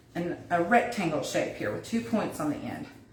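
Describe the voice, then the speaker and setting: Amid noticeable background noise and audible room echo, a woman with a fairly low pitch and lively intonation speaks at a moderate pace. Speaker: wreath crafter, DIY tutor. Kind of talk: livestream craft tutorial. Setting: Facebook live stream. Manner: casual, chatty.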